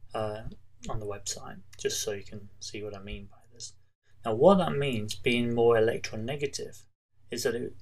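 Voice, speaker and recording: Loudness swings widely as the speaker keeps a moderate pace, with audible room echo. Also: man. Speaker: chemistry teacher. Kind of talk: tutorial. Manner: casual, with frequent fillers and restarts.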